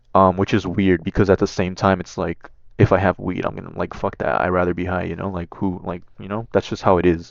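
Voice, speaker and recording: Over a quiet background, a man with a very deep, low pitch talks at a very fast pace with fairly even intonation. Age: young. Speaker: gaming YouTuber vlogging. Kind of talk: casual vlog monologue. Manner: hesitant, many fillers.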